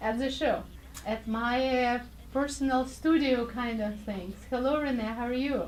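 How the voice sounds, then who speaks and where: Recorded with noticeable background noise and audible room echo, a woman speaks in a fairly high voice. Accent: Russian. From Russia. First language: Russian. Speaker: radio show host. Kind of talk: casual interview. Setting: studio.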